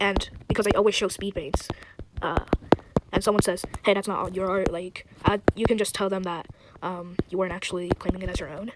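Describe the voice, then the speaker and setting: Over noticeable background noise, a woman talks at a fairly quick pace in a monotone, flat intonation. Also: medium pitch for a woman. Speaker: YouTube artist. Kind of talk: tutorial. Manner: hesitant, many fillers.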